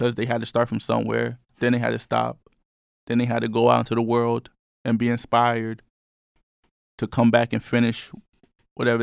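In an American accent, a man talks very fast with monotone, flat intonation. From New York. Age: 20s. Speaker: podcast host. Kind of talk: casual chat. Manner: casual, filler-heavy.

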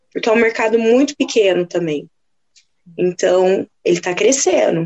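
A woman's ordinary speaking voice with lively intonation at a moderate pace. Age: 20s. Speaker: plus size model. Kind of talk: casual chat.

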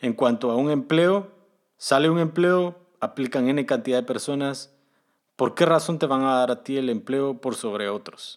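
A man with an ordinary speaking voice talks at a fairly slow pace, fairly high in pitch with ordinary pitch variation. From Guatemala. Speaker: podcast host, software developer. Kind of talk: solo podcast monologue giving career advice.

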